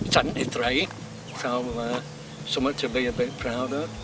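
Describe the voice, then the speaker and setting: A man with a Yorkshire accent talks at a moderate pace against noticeable background noise. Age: 60s. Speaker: cyclist. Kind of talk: casual interview.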